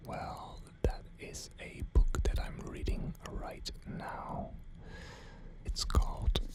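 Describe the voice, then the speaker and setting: A man whispers in a calm tone at a very slow pace. His loudness swings widely over noticeable background noise. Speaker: ASMR creator. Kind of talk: ASMR whisper video for sleep. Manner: whispered, calm, slow.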